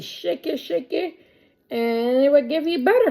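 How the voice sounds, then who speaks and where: A woman speaks high in her range with a dark, mellow tone. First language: not English. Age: 30s. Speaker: home cooking vlogger. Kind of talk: cooking tutorial, casual chat to camera. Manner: casual, chatty.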